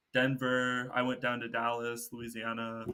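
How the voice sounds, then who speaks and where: A man's medium-pitched voice with an American accent, bright and sharp in tone, in a flat monotone. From Texas. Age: 20s. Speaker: solo traveler and environmental science student. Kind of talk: casual interview chat.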